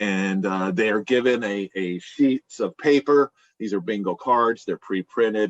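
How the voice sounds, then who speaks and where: A man's unremarkable speaking voice, fairly low in pitch, with ordinary pitch variation and a fairly slow pace. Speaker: bingo caller and business executive. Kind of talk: podcast interview answer. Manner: conversational, explanatory.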